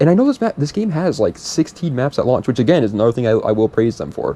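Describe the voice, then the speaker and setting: A man's intonation is lively. He talks at a very fast pace. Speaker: gaming YouTuber. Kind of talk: gameplay commentary. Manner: casual, rambling.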